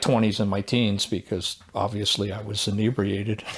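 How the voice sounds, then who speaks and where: At a moderate pace, the man talks while background noise is noticeable. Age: 60s. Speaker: sober motorcycle club member. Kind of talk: casual interview chat.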